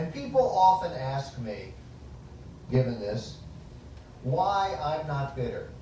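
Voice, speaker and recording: Amid noticeable background noise and audible room echo, a man with an American accent speaks with ordinary pitch variation. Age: 60s. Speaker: author and foundation director. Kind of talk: public lecture.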